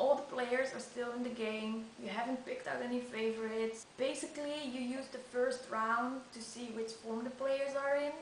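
With audible room echo and light background noise, a woman with a non-native accent speaks at a moderate pace in a high pitch and fairly even intonation. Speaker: snooker fan, amateur video maker. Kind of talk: casual talk to camera. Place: home room. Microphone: webcam.

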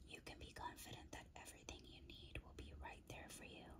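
A woman is heard here. She is whispering. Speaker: ASMR creator and tarot/crystal reader. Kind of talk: ASMR crystal card guidebook reading. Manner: whispered, soft-spoken. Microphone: studio mic.

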